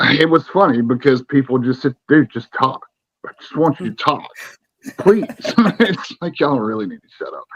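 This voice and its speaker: A man with an American accent talks at a moderate pace, leaving long, frequent pauses. His pitch is fairly high and his intonation is lively. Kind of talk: casual interview chat.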